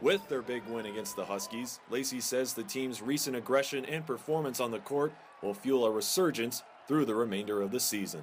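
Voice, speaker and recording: Delivered at a fairly quick pace, this is a normal speaking voice. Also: man, medium pitch for a man, lively intonation. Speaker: sports broadcaster. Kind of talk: TV news package report.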